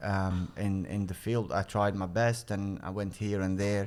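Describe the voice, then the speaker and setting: Using a fairly low pitch, a man speaks with an Arabic accent. He talks at a fairly slow pace. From Egypt. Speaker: sports nonprofit CEO. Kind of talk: podcast interview. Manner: halting, many fillers.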